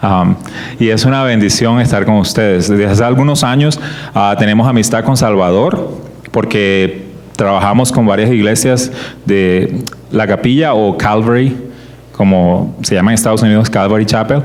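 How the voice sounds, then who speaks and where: A man speaks at a moderate pace in a fairly low voice with ordinary pitch variation and very even loudness. There is noticeable background noise and audible room echo. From Colombian Caribbean coast (Barranquilla). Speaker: creationist ministry speaker. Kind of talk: church teaching talk.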